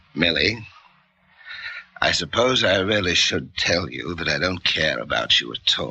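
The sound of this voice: Putting on a character voice, a man speaks at a fairly slow pace with a low, bright, sharp tone, vocal fry and ordinary pitch variation.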